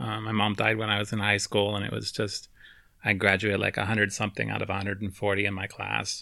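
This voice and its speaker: On a very clean recording with a silent background, a man with an American accent speaks at a fairly low pitch. His tone is bright and sharp, with vocal fry. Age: 40s. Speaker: podcast co-host, mathematician. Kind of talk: casual chat.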